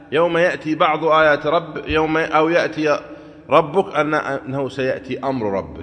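A man speaks with a fairly bright tone. His pitch is fairly high, with ordinary variation.

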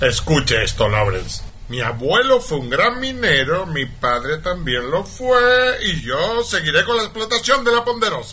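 Putting on a character voice, a man speaks at a fairly slow pace with few pauses, his fairly high pitch making big swings in a bright, sharp tone over faint background noise.

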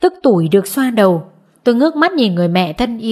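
Lively intonation over plain reading aloud.

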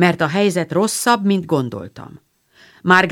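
With ordinary pitch variation and a quiet background, the speaker reads aloud in a natural voice.

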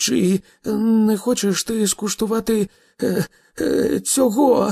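Using a put-on character voice, a man talks slowly at a high pitch in a dark, mellow tone. His voice is shaky with vocal fry and a slightly husky edge. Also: fairly even intonation, dry, close sound with no echo, very clean recording, silent background.

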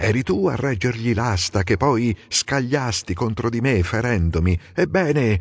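Lively intonation marks this clip. The speaker uses a natural reading voice.

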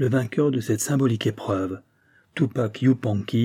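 Plain reading aloud comes through, its pitch varying in an ordinary way.

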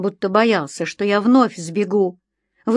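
The reading aloud is plain, and the background stays quiet.

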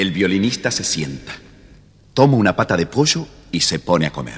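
In an Argentine accent, a man talks with a low pitch, a slightly husky edge and big pitch swings. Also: moderate pace.

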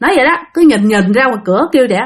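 A woman talks very fast at a fairly high pitch, her intonation lively. Her voice has a slightly husky edge.

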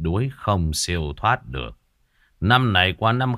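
Over a quiet background comes an unforced reading voice with lively intonation.

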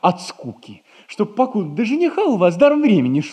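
A man puts on a character voice, high-pitched with a slightly husky edge and a slightly mellow tone, moving at a fairly quick pace through very wide pitch swings.

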